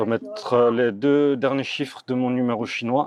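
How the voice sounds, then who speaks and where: A man speaks at a medium pitch. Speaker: travel vlogger. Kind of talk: casual vlog narration. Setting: hostel dormitory. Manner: soft-spoken, quiet.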